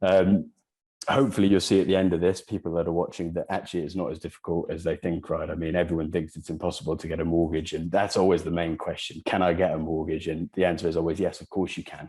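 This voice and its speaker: With a slight Welsh accent, a man talks at a very fast pace in a very deep, low pitch, with a dark, mellow tone and monotone, flat intonation. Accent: faint Welsh. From Wales. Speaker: property channel host. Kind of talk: interview. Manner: hesitant, many fillers.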